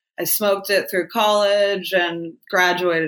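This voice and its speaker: A woman with an American accent speaks in a bright, sharp tone with fairly even intonation. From Ohio. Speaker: cannabis beauty brand founder. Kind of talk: casual interview.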